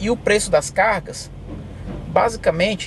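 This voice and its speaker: A man's high voice at a fairly slow pace over noticeable background noise. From Brazil, Bahia (Teixeira de Freitas), moved to US at 11. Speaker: truck driver. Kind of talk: interview.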